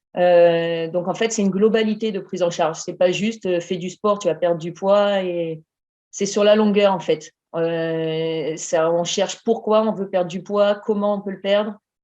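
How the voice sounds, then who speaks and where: A woman talks at a fairly slow pace and a medium pitch. Her tone is dark and mellow, with fairly even intonation. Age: 40s. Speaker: emergency nurse, coaching client. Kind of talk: interview testimony.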